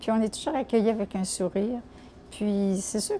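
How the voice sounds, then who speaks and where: Over noticeable background noise, a woman speaks with a fairly high pitch. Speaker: senior volunteer. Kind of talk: testimony. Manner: halting.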